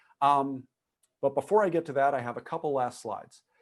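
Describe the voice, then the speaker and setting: Against a quiet background, a man speaks in an ordinary speaking voice with a fairly high pitch and ordinary pitch variation. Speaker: structural engineering lecturer. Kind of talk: lecture.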